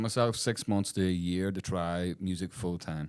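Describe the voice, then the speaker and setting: Over a silent background in a very clean recording, a man with a Northern Irish accent talks at a moderate pace in a very deep, low pitch. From Belfast, Northern Ireland. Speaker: soul and funk singer. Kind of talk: interview answer.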